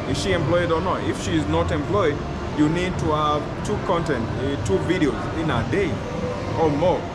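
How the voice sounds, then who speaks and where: A man speaks at a moderate pace, with loud noise in the background. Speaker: content creator giving advice. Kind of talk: interview answer. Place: hall. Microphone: phone near.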